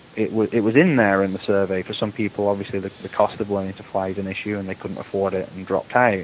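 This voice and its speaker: A man's fairly low voice with an English accent and monotone, flat intonation. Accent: English accent, audible. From England. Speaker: aviation association executive. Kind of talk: interview.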